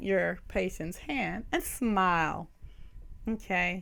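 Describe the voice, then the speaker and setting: Someone with a Southern US accent speaks very slowly, with audible room echo around the voice. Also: woman. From US South. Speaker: nursing professor. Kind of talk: lecture.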